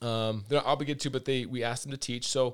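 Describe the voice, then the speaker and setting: At a fairly quick pace, a man with an American accent speaks at a medium pitch in a very clean recording with a silent background. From US Pacific Northwest (Redmond, Washington). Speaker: karate instructor and former pro baseball pitcher. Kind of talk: casual interview. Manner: hesitant, many fillers and repeats.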